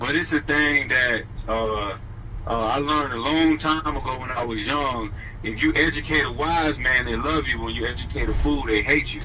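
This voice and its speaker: A fairly high-pitched man's voice with ordinary pitch variation, audible room echo and noticeable background noise. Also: moderate pace. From New Orleans, Louisiana. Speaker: dog trainer. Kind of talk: radio interview.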